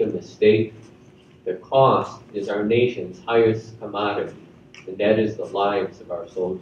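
A somewhat breathy man at a moderate pace, with audible room echo and light background noise. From US Midwest, Chicago. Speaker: retired army general; guest. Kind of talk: school assembly speech. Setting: school assembly with audience. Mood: warm, earnest. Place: hall. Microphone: podium.

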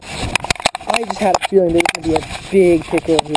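The speech moves at a moderate pace, with a dry sound that has no echo and loud background noise behind it. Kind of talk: casual vlog chat. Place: waterside.

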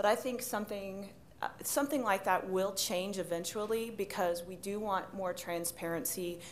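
Against light background noise, a woman of medium pitch talks at a moderate pace with ordinary pitch variation. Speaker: medical device reimbursement executive; panelist. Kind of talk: conference panel discussion. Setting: stage with audience. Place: hall. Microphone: podium.

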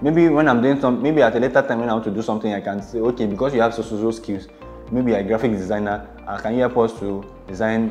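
Faint music plays in the background as a man talks at a very fast pace with fairly even intonation. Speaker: presenter. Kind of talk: tutorial. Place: home room. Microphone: lapel.

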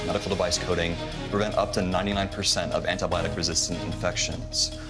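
A man talks at a very fast pace with clear music in the background. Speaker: startup founder pitching to investors. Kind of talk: business pitch. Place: studio.

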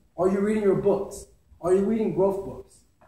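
An energetic man with a high pitch, amid audible room echo. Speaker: public speaker, entrepreneur. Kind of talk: motivational speech at a speaking club meeting. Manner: energetic, motivational. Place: meeting room. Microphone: camera far.

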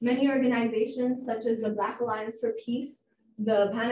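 Fairly high-pitched, a woman talks at a fairly quick pace. Audible room echo and light background noise are present. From Ethiopia. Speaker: researcher and speaker on African politics; speaker. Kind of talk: lecture. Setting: university room with audience.

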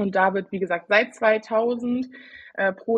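Somewhat breathy, a woman talks fairly slowly at a medium pitch. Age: 20s. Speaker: IT consultant and student. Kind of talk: casual chat. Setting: video call.

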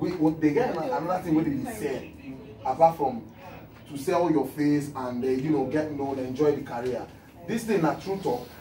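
A moderate pace over light background noise, with audible room echo. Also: man, fairly high pitch for a man, ordinary pitch variation. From Nigeria. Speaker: TV talk show host. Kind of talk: TV talk show hosting. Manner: playful, chatty. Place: studio.

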